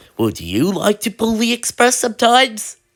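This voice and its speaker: A female-sounding voice puts on a character voice with a fairly high pitch. The pace is moderate. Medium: read story. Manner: authoritative.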